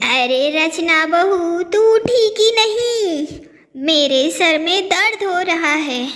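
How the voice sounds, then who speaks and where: In a cartoonish character voice, a woman speaks at an extremely high pitch and a very slow pace with lively intonation. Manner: calling everyone "bahu", guilt-tripping.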